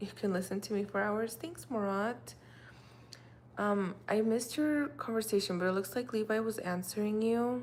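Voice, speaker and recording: In a Russian accent, a woman speaks at a moderate pace with a fairly high pitch, ordinary pitch variation and a calm tone. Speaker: livestreamer. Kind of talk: casual chat. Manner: calm and mellow.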